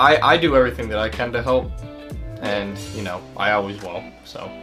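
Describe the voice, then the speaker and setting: A man talking at a fairly quick pace with very wide pitch swings, music in the background. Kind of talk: casual conversation.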